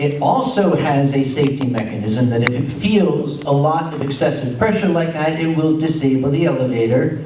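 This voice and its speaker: Over noticeable background noise and audible room echo, a man with an American accent talks at a moderate pace, his pitch fairly high with ordinary variation. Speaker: convention organizer. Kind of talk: convention panel talk.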